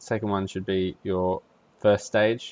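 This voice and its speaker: A man with an Australian accent speaks in a very deep, low pitch with fairly even intonation. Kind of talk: casual tech tutorial. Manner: casual, hesitant with fillers.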